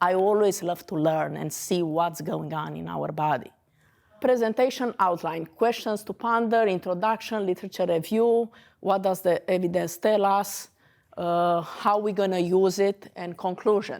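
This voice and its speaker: In a Romanian accent, a woman talks at a moderate pace with a medium pitch and ordinary pitch variation. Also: very clean recording, silent background. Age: 40s. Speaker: dentist. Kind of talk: lecture.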